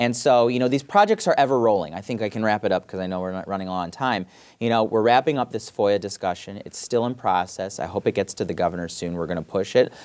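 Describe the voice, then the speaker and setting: Very fast delivery with hardly any pauses and ordinary pitch variation, on a very clean recording against a silent background. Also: man, fairly low pitch for a man. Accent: Michigan. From Michigan, Southfield (Detroit area). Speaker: state senator. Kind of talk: casual interview.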